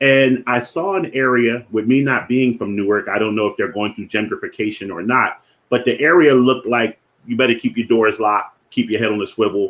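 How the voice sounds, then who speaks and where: A man with a strong Philadelphia accent, medium pitch, ordinary pitch variation, fairly quick pace. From Philadelphia, US. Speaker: finance educator, platform founder. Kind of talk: live-streamed educational talk. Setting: Facebook live stream.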